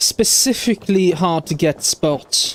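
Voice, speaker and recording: A man speaks with an American accent and ordinary pitch variation. The sound is dry and close with no echo, and there is noticeable background noise. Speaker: streamer. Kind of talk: casual gameplay stream chat. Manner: halting, many fillers; careful enunciation, thinking through words.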